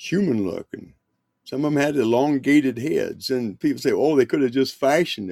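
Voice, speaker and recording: With an ordinary speaking voice, a man talks at a fairly slow pace and medium pitch with lively intonation, the sound dry and close with no echo. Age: 60s. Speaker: podcast guest. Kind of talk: casual chat.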